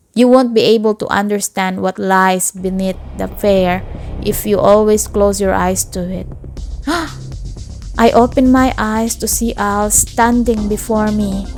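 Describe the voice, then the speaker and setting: Music plays in the background while a woman with a non-native accent talks at a fairly slow pace. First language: not English. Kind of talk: audiobook-style story reading.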